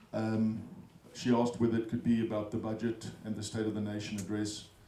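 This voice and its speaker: Noticeable background noise sits behind a man's fairly low voice. He talks at a moderate pace in a flat monotone. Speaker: economist and business school research fellow. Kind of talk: speech at a business breakfast. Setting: event room with audience. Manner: hesitant, many fillers.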